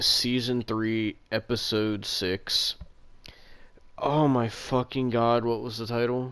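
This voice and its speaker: On a very clean recording with a silent background, a man speaks very slowly at a medium pitch. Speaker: podcast co-host. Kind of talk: casual chat.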